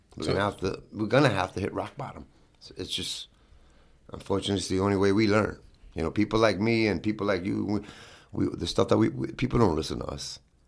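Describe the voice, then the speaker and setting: A man talks at a very fast pace in a fairly low pitch. His voice has vocal fry. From New York (Brooklyn). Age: 50s. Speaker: hardcore band vocalist. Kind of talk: casual chat.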